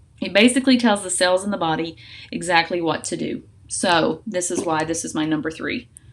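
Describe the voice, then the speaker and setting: A woman talks at a fairly quick pace in a fairly low pitch, with noticeable background noise behind her. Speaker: essential oils educator. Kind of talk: tutorial. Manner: fast; casual with filler words.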